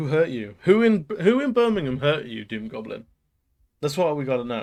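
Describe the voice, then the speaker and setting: This man's voice is fairly high in pitch, and it swings very widely. His loudness rises and falls in big swings. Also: moderate pace. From Manchester, northern England. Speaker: streamer. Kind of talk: casual chat.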